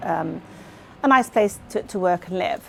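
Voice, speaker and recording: A woman talks at a moderate pace with a West Country accent. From South Gloucestershire, England. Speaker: farmer's wife and bookkeeper. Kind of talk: documentary interview.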